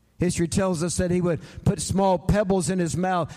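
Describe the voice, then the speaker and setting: A man speaks in a Southern US accent. His high-pitched voice has a dark, mellow tone. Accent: Southern US (Georgia). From US South, Atlanta, Georgia. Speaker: preacher. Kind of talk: sermon.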